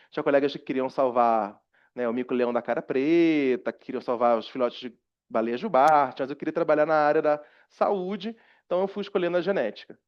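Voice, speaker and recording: His pitch is fairly high and his pace fairly quick. The man's loudness swings widely, and his intonation is lively. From Rio de Janeiro, Brazil. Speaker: university professor. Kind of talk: lecture. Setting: seminary room with live audience, recorded. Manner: conversational, frequent fillers.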